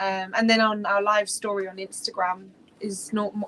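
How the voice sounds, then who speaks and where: Against noticeable background noise, a woman with a British accent speaks at a moderate pace and a medium pitch in a monotone, flat intonation. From Britain. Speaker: cruising sailor, video creator. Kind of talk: casual interview chat.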